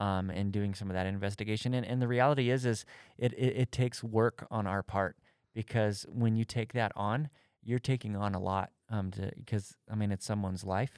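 Recorded with a dry, close sound and no echo, a man with a normal speaking voice talks at a fairly low pitch, a moderate pace and fairly even intonation. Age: 30s. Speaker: church speaker and podcast co-host. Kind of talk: casual faith discussion.

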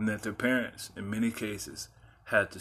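Fairly low in pitch, a man's voice has a bright, sharp tone. His intonation is monotone and flat. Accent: American. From Texas (San Antonio). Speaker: podcast host. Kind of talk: personal monologue.

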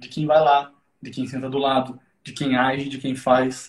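The man's voice is somewhat breathy. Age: 20s. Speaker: psychotherapist. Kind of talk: casual chat.

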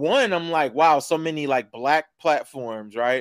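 A man speaks fairly slowly in an unremarkable speaking voice with ordinary pitch variation. The sound is dry and close with no echo, very clean against a silent background. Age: 30s. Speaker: podcast host. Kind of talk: casual chat; promotional read.

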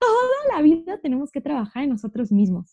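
A dry, close sound with no echo, from a woman. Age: 20s. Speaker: university student. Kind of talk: casual chat.

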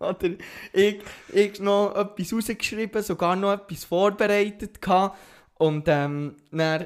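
At a very slow pace, a man speaks in a high pitch with fairly even intonation. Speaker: podcast co-host. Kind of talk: casual chat.

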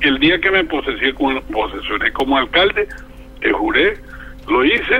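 A man talks at a moderate pace with very even loudness. Noticeable background noise runs underneath. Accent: Colombian Caribbean. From Colombian Caribbean coast, Barranquilla. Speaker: criminal lawyer and former mayor. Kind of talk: interview. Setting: phone call.

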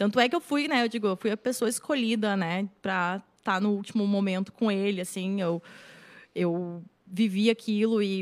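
An ordinary speaking voice at a moderate pace, with ordinary pitch variation, on a very clean recording with a silent background. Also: woman. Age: 30s. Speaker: writer and screenwriter. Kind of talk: casual chat.

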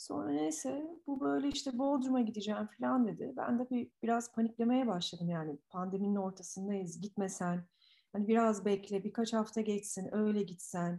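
A woman's somewhat breathy, dark, mellow voice at medium pitch and moderate pace, with lively intonation and hardly any pauses. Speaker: grieving widow sharing her loss. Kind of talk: emotional personal testimony.

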